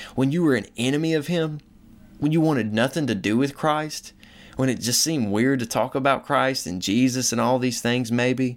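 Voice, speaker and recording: A man with an American accent talks at a moderate pace in a plain, everyday voice, his medium pitch showing ordinary variation. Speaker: podcast host. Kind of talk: solo podcast monologue. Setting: recording abroad. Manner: casual.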